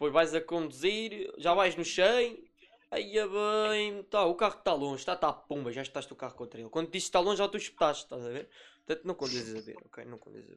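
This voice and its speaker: At a fairly quick pace, the voice moves with lively intonation and big swings in loudness. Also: man, high pitch for a man. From Portugal, Lisbon. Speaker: podcast host and moderator. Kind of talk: casual chat.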